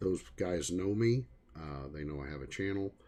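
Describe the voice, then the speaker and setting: A man in a Missouri accent, dark and mellow in tone, with ordinary pitch variation. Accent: rural Missouri, heavy at times. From Missouri, Springfield area. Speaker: hobbyist electronics repairer, livestreamer. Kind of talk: casual livestream chat and repair demo. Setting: livestream. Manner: casual, halting with frequent fillers.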